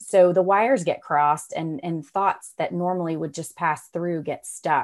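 On a very clean recording with a silent background, a speaker with an American accent talks at a fairly slow pace with fairly even intonation and hardly any pauses. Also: woman, fairly low pitch for a woman. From North Carolina (Raleigh). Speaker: author and stay-at-home mom. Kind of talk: interview. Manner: hesitant, many fillers.

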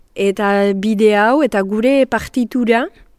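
This woman has a plain, everyday voice, pitched fairly high with fairly even intonation. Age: 20s. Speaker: actress and singer. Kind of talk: interview.

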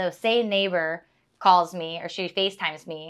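She is a woman with an American accent and a fairly low pitch. Her intonation is monotone and flat. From San Diego, California. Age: 30s. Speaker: real estate agent. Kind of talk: casual interview.

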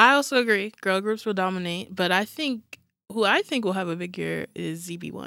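A woman with an American accent speaks at a medium pitch and a moderate pace, her pitch varying in an ordinary way. Her tone is bright and sharp, and her loudness swings widely. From New York. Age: 20s. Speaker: K-pop fan, new podcast member. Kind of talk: casual chat.

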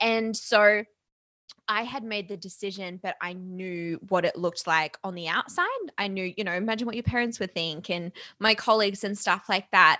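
Speaking with an Australian accent, a woman of medium pitch uses a bright, sharp tone, fairly even intonation and a moderate pace. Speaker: entrepreneur and podcast host. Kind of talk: casual interview chat.

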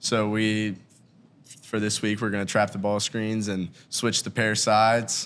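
A man's fairly low, monotone voice with flat intonation at a fairly slow pace, on a very clean recording with a silent background. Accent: American. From Ohio, Hamilton. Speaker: college basketball walk-on player. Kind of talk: casual chat.

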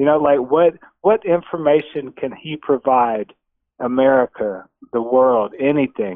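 A man speaks at a fairly slow pace in a plain, everyday voice. His pitch is medium and his intonation is lively. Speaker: caller. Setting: phone call.

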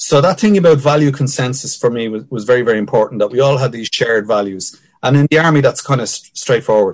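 Talking very fast, a man with a Dublin accent uses a medium pitch and ordinary pitch variation. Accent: Dublin Irish. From Ireland, Dublin (Finglas). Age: 50s. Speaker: ex army captain, security analyst and lecturer. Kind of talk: interview. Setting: remote call over wifi.

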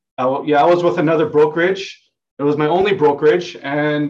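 A man with an unremarkable speaking voice talks at a moderate pace, his pitch fairly high. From Vancouver, Canada (born in Hong Kong). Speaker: real estate agent. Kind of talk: casual interview.

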